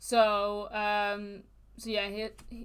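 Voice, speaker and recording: A woman's medium-pitched voice with a northern English accent. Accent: mild northern English. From northern England (Manchester). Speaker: true crime podcast co-host. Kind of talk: casual podcast chat, recounting case.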